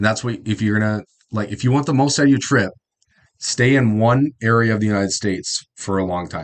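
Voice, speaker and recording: Speaking at a fairly quick pace, a man with a Midwestern accent talks in a fairly low pitch with ordinary pitch variation. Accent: Midwest accent, Canadian-esque. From South Dakota, US Midwest. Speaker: YouTube reactor. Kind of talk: reaction commentary. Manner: casual, halting.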